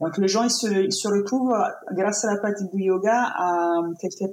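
A woman's voice with an Italian accent, medium in pitch with ordinary pitch variation, at a fairly slow pace. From Italy. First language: Italian (speaking French). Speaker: painter and yoga teacher. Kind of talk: interview conversation. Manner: halting.

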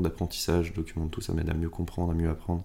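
A man's very deep, low pitch and dark, mellow tone at a very fast pace. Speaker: explorer doing challenges. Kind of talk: casual interview. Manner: monotone.

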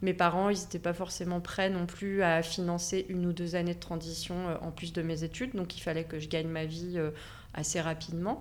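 The woman's pitch is fairly low. Her delivery is monotone and flat at a moderate pace. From Savoie, France. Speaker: graphic designer. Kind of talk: interview.

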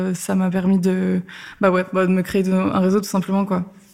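In a very clean recording with a silent background, a woman speaks at a medium pitch in a dark, mellow tone with monotone, flat intonation. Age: 20s. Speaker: freelance community manager. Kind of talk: interview. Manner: casual.

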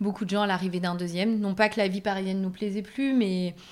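Here a woman talks at a very fast pace. Her pitch is medium, with fairly even intonation. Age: 30s. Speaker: content creator, former pediatric nurse. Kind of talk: casual interview.

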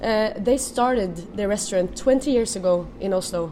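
There is noticeable background noise as a woman speaks with a Norwegian accent. Her pitch is fairly high, with ordinary pitch variation. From Norway. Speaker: food and wine writer. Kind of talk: interview.

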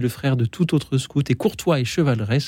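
A man's dark, mellow tone at a moderate pace. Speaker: radio host. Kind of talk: live radio talk show with callers. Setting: studio.

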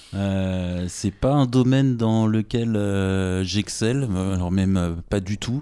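There are hardly any pauses as a man speaks at a very slow pace in a fairly low pitch. His tone is dark and mellow, with ordinary pitch variation. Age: 30s. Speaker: podcast host. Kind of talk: interview. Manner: casual.

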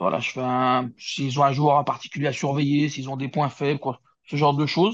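A man talks with a medium pitch and fairly even intonation. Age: 40s. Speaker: football coach. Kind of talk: interview. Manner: hesitant, with fillers and repetitions.

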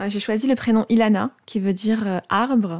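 Recorded very cleanly against a silent background, a woman speaks with fairly even intonation in a dry, close sound with no echo. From Morocco. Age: 30s. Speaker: psychologist. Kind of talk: personal testimony. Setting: recorded on host's sofa. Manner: halting.

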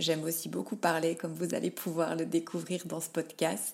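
A woman speaks with monotone, flat intonation. Her recording is very clean, the background silent. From Belgium, Liège. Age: 30s. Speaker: podcast guest sharing grief story. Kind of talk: personal testimony. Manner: halting, repeats words.

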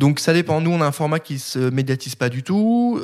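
A man speaks at a moderate pace. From France, Nancy (Lorraine). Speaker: media founder and editor-in-chief. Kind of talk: podcast interview. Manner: casual, hesitant.

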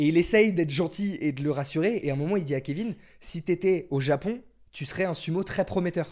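Pitched high, a man speaks fairly quickly in an animated tone. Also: ordinary pitch variation. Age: 20s. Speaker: musician and content creator. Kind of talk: casual chat.

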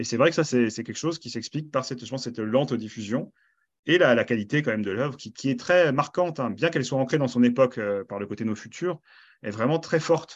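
A man talks at a very fast pace against a quiet background. His medium-pitched voice shows ordinary pitch variation. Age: 30s. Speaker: comics critic and librarian. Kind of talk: interview. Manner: hesitant, many fillers.

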